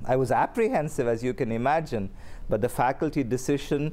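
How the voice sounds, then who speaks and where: This man's voice has a dark, mellow tone and comes with an Indian accent. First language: Kannada. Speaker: seminary professor and dean. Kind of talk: interview.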